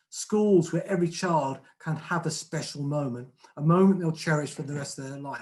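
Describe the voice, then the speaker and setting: In a southern English accent, the speaker goes at a fairly quick pace. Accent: southern English twang. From southern England. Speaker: retired head teacher and trust chief executive. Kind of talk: conference speech.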